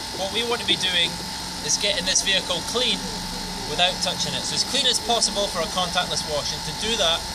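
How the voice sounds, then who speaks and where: A man rushes along at a very fast pace against loud background noise. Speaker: car detailer. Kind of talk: casual how-to demonstration. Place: street. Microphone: camera far.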